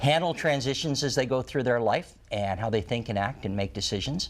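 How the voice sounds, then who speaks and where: An unremarkable speaking voice at a fairly quick pace, with lively intonation. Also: man. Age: 60s. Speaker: retirement planning author and former financial advisor. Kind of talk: interview on a TV talk show.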